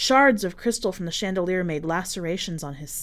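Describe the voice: This reading aloud is plain, and its pitch shifts in an ordinary way.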